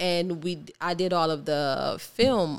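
With an American accent, a woman speaks in an unremarkable speaking voice, fairly low in pitch and with fairly even intonation. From Ohio, Cleveland. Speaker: artist and filmmaker. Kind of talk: casual interview.

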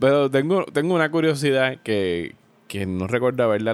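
A man with an ordinary speaking voice talks at a fairly quick pace with lively intonation. The recording is very clean, with a silent background. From Puerto Rico. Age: 40. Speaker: podcast host. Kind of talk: casual chat.

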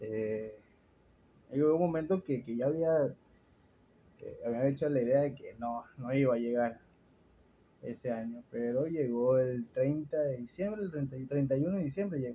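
Pausing often and at length, a man talks at a fairly slow pace with ordinary pitch variation. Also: medium pitch for a man. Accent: coastal Ecuadorian. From Ecuador, Guayaquil. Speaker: podcast host. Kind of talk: casual chat.

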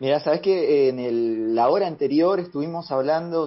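A man with a normal speaking voice, a moderate pace and ordinary pitch variation. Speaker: radio host. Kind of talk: casual radio chat.

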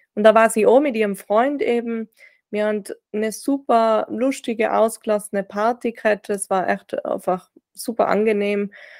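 Recorded dry and close with no echo, a woman speaks in a Tyrolean accent. Her pitch is fairly high, her pace moderate and her intonation fairly even. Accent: Tyrolean Austrian German. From Austria, Tyrol (Reutte, near German border). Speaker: grief-recovery sports coach and author. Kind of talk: personal testimony in interview. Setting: video call.

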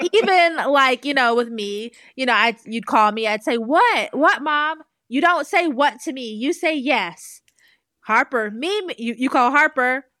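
A woman projects her voice in a raised, high pitch with a bright, sharp tone. Her pace is fairly slow and her intonation lively. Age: 30s. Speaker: podcast co-host and content creator. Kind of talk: casual chat.

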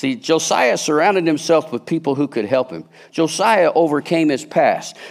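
This man talks at a moderate pace with a fairly high pitch and ordinary pitch variation. Vocal fry runs through his voice. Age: 60s. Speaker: lay preacher at a church. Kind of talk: sermon. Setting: church service with congregation, streamed.

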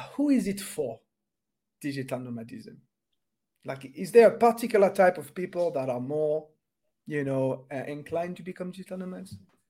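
A man speaks with a French accent and a dark, mellow tone. His high pitch swings very widely, with long, frequent pauses. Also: moderate pace. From France. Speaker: podcast host. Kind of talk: interview.

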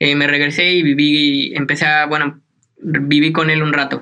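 Here a man talks at a fairly high pitch. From Mexico, Hidalgo. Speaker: graphic designer and illustrator. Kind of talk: casual interview.

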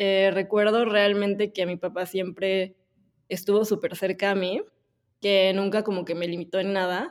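A woman speaks at a medium pitch with a monotone, flat intonation. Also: fairly slow pace. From Mexico (Puebla). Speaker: agency co-founder and director. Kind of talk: interview.

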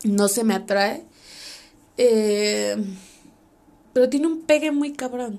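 Speaking very slowly in a Mexican accent, a woman uses a fairly high pitch with ordinary pitch variation and long, frequent pauses. Noticeable background noise sits under her voice. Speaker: podcast host. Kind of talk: casual monologue.

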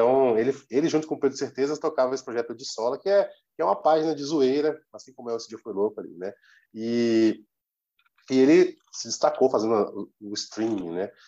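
Talking at a fairly quick pace, a man with a dark, mellow tone shows ordinary pitch variation and big swings in loudness. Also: medium pitch for a man. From Brazil. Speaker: football social media page creator. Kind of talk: casual interview chat.

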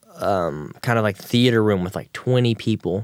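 A man's fairly low-pitched, a normal speaking voice with an American accent and ordinary pitch variation, dry and close with no echo. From Texas. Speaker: actor and musician. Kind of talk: casual interview chat. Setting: studio.

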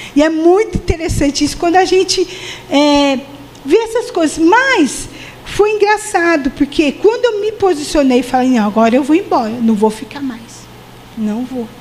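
Amid noticeable background noise, a woman speaks at a moderate pace in a high pitch with very wide pitch swings. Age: 50s. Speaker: preacher. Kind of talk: sermon.

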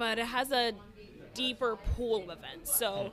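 This is a woman with an ordinary speaking voice and an American accent. Her pitch is fairly high and her pace moderate. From Connecticut, East Hartford. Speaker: DJ and events organizer. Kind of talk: casual chat.

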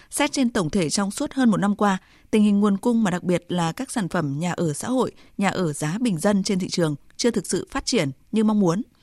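A woman with an ordinary speaking voice and medium pitch talks at a fairly quick pace with lively intonation, in a dry, close sound with no echo and a quiet background. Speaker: radio news presenter. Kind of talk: news reading. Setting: studio.

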